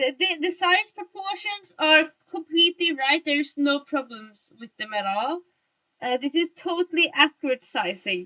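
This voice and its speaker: The raised, projected voice has a bright, sharp tone and very wide pitch swings. The sound is dry and close, with no echo. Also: woman, high pitch for a woman, moderate pace. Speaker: vtuber art streamer. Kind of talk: casual livestream chat while drawing. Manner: halting.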